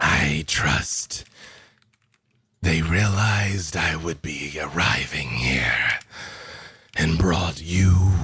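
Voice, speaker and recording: Putting on a character voice, a man booms at a very deep, low pitch and a very slow pace, with long, frequent pauses. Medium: actual play. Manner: silky, calm, menacing.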